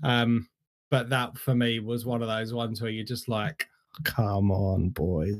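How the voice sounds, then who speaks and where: An ordinary speaking voice from a man, medium in pitch, at a fairly slow pace, on a very clean recording with a silent background. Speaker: football podcast co-host. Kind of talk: casual football chat.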